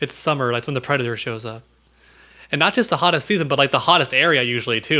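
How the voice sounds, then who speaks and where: The speech is very fast, with an American accent. The tone is bright, sharp and animated. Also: man. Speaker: podcast co-host. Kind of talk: casual chat.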